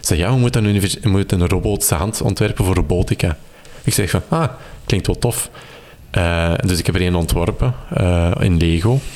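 A man with a very deep, low pitch talks at a fairly quick pace, keeping his loudness very even and his pitch variation ordinary. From Belgium, Kempen (Campine). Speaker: maker and electronics hobbyist. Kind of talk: casual interview. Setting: at home in living room.

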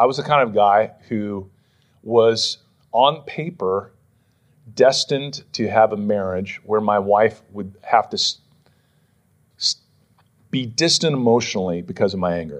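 At a fairly slow pace, a man with a fairly low pitch talks in an American accent. He shows ordinary pitch variation and takes long, frequent pauses. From western Pennsylvania. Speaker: pastor. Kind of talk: sermon. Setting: church.

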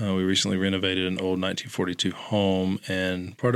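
Speaking at a moderate pace with an American accent, a man has a very deep, low voice on a very clean recording with a silent background. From North Carolina (Lumberton). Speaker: vinyl record collector, coworker of host. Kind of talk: casual chat. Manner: halting, many fillers.

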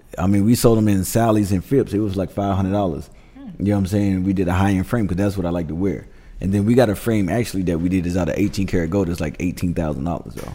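Very fast speech from a man with an American accent, a very deep, low pitch, a dark, mellow tone and ordinary pitch variation. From Miami, Florida. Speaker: celebrity stylist. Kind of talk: casual chat.

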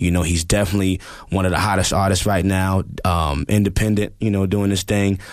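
Very deep and low in pitch, a man speaks in a flat monotone at very even loudness. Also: fairly quick pace. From New York, the Bronx. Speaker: music producer and drummer. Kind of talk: casual chat. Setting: studio.

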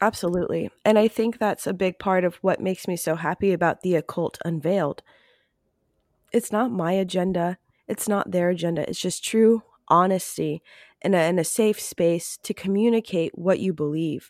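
On a very clean recording with a silent background and a dry, close sound with no echo, a woman with a normal speaking voice talks at a medium pitch and moderate pace with fairly even intonation. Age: 30s. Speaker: podcast host and occult practitioner. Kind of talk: interview conversation.

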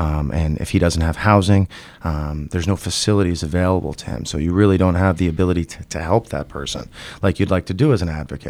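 This man has an American accent and a very deep, low pitch. He talks at a very fast pace with ordinary pitch variation. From New York State. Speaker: attorney and state house candidate. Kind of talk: interview.

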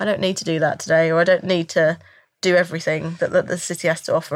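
In a London accent, a woman with a fairly low pitch talks at a very fast pace. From North London, England. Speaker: voice actor for a game. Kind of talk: casual chat. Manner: halting.

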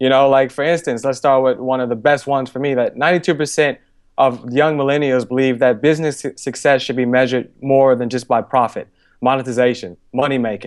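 A man speaks with medium pitch. His pace is fairly quick. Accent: Chicago. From Chicago, US Midwest. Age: 20s. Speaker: author and entrepreneur. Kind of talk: podcast interview. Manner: animated.

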